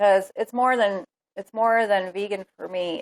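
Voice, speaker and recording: A woman speaks with ordinary pitch variation in a dry, close sound that has no echo. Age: 40s. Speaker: vegan lifestyle vlogger. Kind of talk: live stream chat. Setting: live broadcast on tablet at home. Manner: fast; animated.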